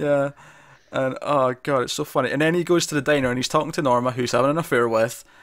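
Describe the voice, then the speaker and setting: A man with a Scottish accent talks at a very fast pace in a fairly high pitch, his intonation fairly even, on a very clean recording with a silent background. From Scotland. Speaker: podcast host. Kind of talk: casual chat.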